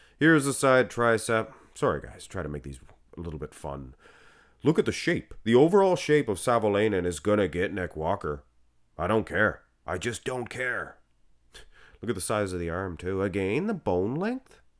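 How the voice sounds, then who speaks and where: A fairly low-pitched man with a Canadian accent at a moderate pace, very wide pitch swings and big jumps in loudness, on a very clean recording with a silent background. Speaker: bodybuilding commentator. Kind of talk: casual commentary. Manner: animated.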